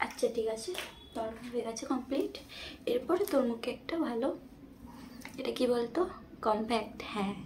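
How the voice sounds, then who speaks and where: There is noticeable background noise behind a woman's high voice. Her tone is playful, with ordinary pitch variation. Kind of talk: ASMR makeup roleplay, casual talk to a friend. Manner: soft, playful, bossy-friendly.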